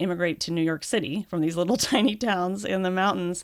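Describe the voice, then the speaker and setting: A woman's medium-pitched, plain, everyday voice with ordinary pitch variation. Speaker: podcast host and education reporter. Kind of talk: conversational interview.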